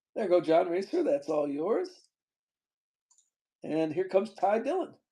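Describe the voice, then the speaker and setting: Speaking at a moderate pace, a man with a high pitch and a dark, mellow tone uses lively intonation. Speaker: card breaker livestream host. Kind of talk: live card break auction stream. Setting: live stream. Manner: casual, chatty.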